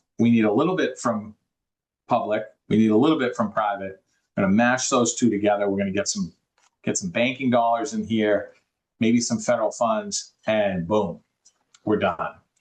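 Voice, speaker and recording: The speaker has a Boston accent and leaves long, frequent pauses. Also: man, medium pitch for a man, ordinary pitch variation, moderate pace. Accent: Boston accent, noticeable. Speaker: affordable housing developer. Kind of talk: interview. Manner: halting, many repetitions.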